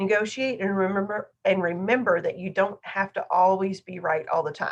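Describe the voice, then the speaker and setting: A woman's medium-pitched voice at a moderate pace, with ordinary pitch variation. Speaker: teacher. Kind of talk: lecture. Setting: online class with screen share. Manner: loud.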